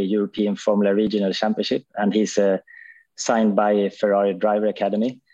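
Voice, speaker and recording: Here is a man with a Swedish accent, a fairly low pitch and a dark, mellow tone. He speaks at a fairly quick pace against a quiet background. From Sweden. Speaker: touring car racing driver. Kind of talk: casual chat.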